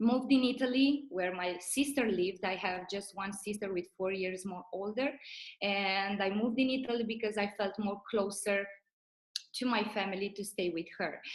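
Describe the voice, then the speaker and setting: A woman with a Romanian accent at a moderate pace, medium in pitch with ordinary pitch variation. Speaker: network marketing leader. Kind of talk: motivational talk.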